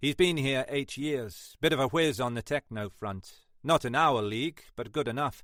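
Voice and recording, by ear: The passage is delivered by reading aloud in a natural voice.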